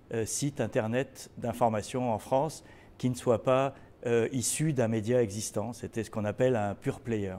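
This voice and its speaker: A man speaks at a moderate pace in a medium pitch. His tone is dark and mellow, with fairly even intonation. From Tunisia. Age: 60s. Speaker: journalist. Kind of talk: interview. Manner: halting, many hesitations and repetitions.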